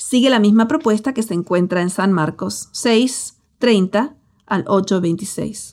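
A woman with a Latin American accent speaks very slowly at a medium pitch with ordinary pitch variation, on a very clean recording with a silent background. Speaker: pastor and author. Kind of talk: audiobook narration.

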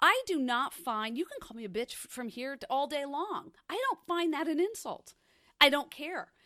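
A woman's raised, projected voice, high in pitch and bright, sharp in tone, with very wide pitch swings at a moderate pace, on a very clean recording with a silent background. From New Jersey. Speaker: podcast host. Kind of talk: casual chat.

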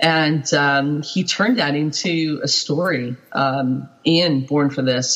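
Very deep, low pitch from a woman, her intonation fairly even. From Britain. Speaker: quilt pattern designer. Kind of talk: interview.

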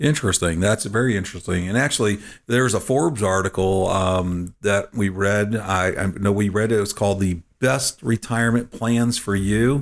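A man speaks in a normal speaking voice at a moderate pace, fairly low in pitch with ordinary pitch variation and very even loudness, on a very clean recording with a silent background. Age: 50s. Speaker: financial advisor and radio show co-host. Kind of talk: casual chat.

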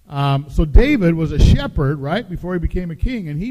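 Against noticeable background noise, a man with an American accent talks at a moderate pace in a fairly high pitch with lively intonation. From US Pacific Northwest. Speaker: pastor. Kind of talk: sermon. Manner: hesitant fillers.

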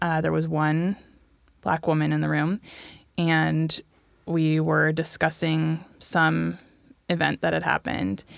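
A woman with an American accent speaks at a fairly slow pace and very even loudness, leaving long, frequent pauses. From US Pacific Northwest. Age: 30s. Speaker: book club guest. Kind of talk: casual chat.

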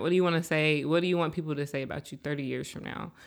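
A woman's very deep, low voice, monotone and flat, with an American accent, on a very clean recording over a silent background. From Seattle, South End. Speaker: writer and photographer. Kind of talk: interview.

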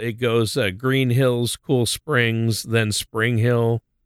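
A man speaks at a fairly slow pace in a plain, everyday voice, medium in pitch, with a dry, close sound free of echo and a very clean recording over a silent background. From Minnesota. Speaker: radio co-host and announcer. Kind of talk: casual chat.

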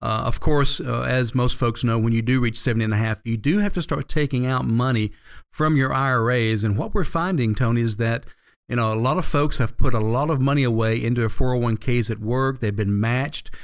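A man with an American accent speaks in an unremarkable speaking voice at medium pitch and a fairly quick pace, with ordinary pitch variation. The recording is very clean, with a silent background. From Georgia, US South. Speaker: financial advisor. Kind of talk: radio financial advice show.

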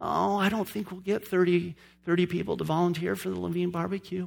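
Whiny and put-on, the character voice sits at a middle pitch. It moves at a fairly quick pace. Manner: whining, pessimistic.

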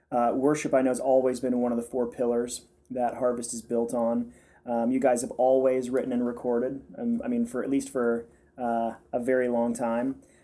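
This man speaks at a moderate pace and medium pitch. His tone is dark and mellow, his intonation monotone and flat. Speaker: podcast host and pastor. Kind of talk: interview podcast conversation.

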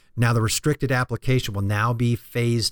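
A normal speaking voice from a man of medium pitch, fairly quick with ordinary pitch variation, on a very clean, dry, close recording with no echo and a silent background. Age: 50s. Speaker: financial planner radio host. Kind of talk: informational radio talk show. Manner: explanatory, conversational.

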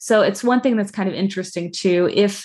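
With a quiet background, a woman at a medium pitch talks at a fairly quick pace. Hers is a normal speaking voice with ordinary pitch variation. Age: 40s. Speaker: children's book author and adoptee. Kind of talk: interview podcast. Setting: video call.

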